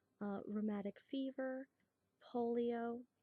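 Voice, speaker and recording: A woman whispers in a gentle tone. She is soft-spoken. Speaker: nurse in a class project role-play. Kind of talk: soft-spoken ASMR role-play of a nurse taking a health history. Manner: soft-spoken, gentle, whispering.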